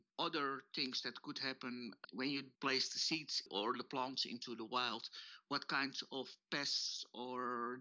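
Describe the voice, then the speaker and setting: This man speaks in a normal speaking voice at a medium pitch. His pace is fairly slow. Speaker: plant society official. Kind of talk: interview.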